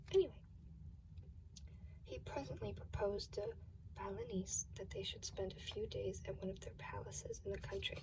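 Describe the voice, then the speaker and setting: Noticeable background noise runs under this recording. A soft-spoken woman talks at a moderate pace. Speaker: ASMR creator. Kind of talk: ASMR fairy tale reading.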